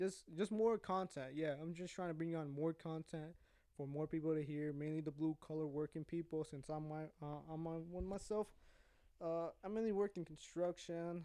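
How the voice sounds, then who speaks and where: A man with a fairly high pitch and a dark, mellow tone talks at a fairly quick pace. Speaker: podcast host. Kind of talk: casual monologue. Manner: rambling, sidetracked.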